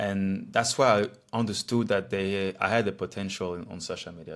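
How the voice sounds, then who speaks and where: This man's voice sits very deep and low, and his intonation stays fairly even. A silent background makes for a very clean recording. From Switzerland (French-speaking, near Lausanne). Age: 30s. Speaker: fitness coach and social media creator. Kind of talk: personal story, casual talk to camera. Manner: casual, halting with fillers.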